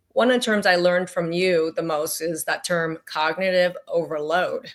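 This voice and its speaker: A woman with fairly low pitch, ordinary pitch variation, and an unremarkable speaking voice. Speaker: physician. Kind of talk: interview.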